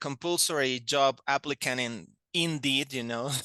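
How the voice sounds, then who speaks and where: Against a quiet background, a man with a Spanish accent talks at a fairly slow pace in a bright, sharp tone with ordinary pitch variation. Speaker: language teacher. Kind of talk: interview. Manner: hesitant, many fillers.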